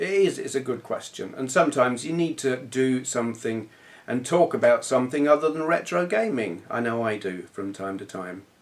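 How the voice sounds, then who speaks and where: Lively intonation in a southern English accent. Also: man. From southern England. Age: 40s. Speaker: retro gaming youtuber. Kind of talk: casual vlog chat.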